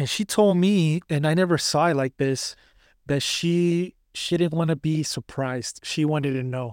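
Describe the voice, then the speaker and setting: Recorded very cleanly with a silent background and a dry, close sound with no echo, a man speaks at a fairly high pitch and moderate pace with ordinary pitch variation. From US, Mexican-American. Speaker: podcast host. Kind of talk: casual chat. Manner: halting, filler words.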